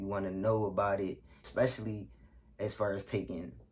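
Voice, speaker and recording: A man with a fairly low pitch and ordinary pitch variation speaks in a somewhat breathy voice. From Philadelphia, US. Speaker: YouTuber. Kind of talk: casual Q&A vlog. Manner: casual, filler-heavy.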